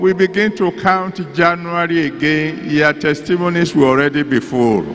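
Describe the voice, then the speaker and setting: A man's voice with light background noise. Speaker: preacher leading prayer. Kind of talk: sermon prayer. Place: hall. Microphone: handheld.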